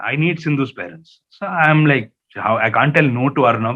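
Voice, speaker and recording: A man talks at a moderate pace. He speaks with a Keralan accent. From India, Hyderabad (Malayali family). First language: Malayalam. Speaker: journalist. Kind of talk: talk to students. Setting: webinar. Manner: animated storytelling; hesitant repetitions.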